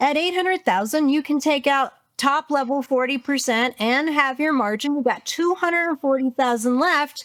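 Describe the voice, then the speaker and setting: Her voice is high and animated, with ordinary pitch variation and very even loudness. The sound is dry and close with no echo, a very clean recording over a silent background. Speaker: business coach. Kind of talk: interview. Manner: fast.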